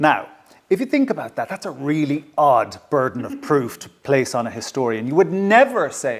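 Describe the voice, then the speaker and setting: A man in an Irish accent speaks with very wide pitch swings. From Ireland, County Kilkenny. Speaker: historian and author. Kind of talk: public talk interview. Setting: stage with audience at a heritage venue. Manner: slightly hesitant, self-correcting.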